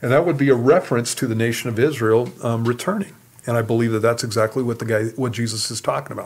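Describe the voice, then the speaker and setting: A man at a medium pitch, with ordinary pitch variation and a very fast pace. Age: 60s. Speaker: pastor. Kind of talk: Q and A teaching on radio.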